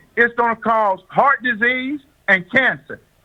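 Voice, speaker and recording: A man with an extremely high pitch and ordinary pitch variation speaks in a raised, projected voice with a bright, sharp tone. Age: 70s. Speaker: health and wellness doctor. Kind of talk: radio interview. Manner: repetitive, stammering restarts.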